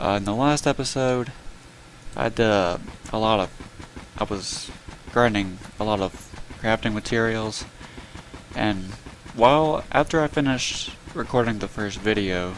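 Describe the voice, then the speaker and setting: Over noticeable background noise, a man with a fairly low pitch talks at a fairly slow pace with ordinary pitch variation. Long, frequent pauses break up his speech. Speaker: gaming YouTuber. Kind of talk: casual gameplay commentary.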